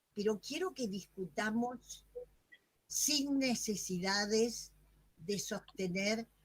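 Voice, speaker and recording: A woman's somewhat breathy voice, very slow in pace, with lively intonation. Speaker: academic presenter, music educator. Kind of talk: moderated Q&A at a virtual academic session.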